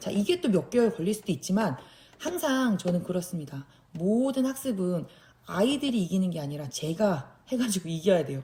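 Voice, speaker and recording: A woman at medium pitch speaks at a moderate pace. Her pitch swings very widely. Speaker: special education teacher. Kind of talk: tutorial.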